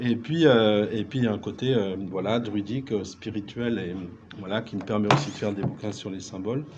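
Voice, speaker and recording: There is audible room echo and noticeable background noise as a man with a fairly low voice speaks at a moderate pace with ordinary pitch variation. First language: Breton (speaking French). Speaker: writer, musician and druid. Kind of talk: round table discussion.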